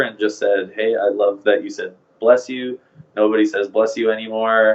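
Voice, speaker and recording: A man speaks with a western Canadian accent. His intonation is monotone and flat. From Canada, Vancouver, British Columbia. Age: 20s. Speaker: groom being interviewed. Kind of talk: casual interview chat. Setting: podcast.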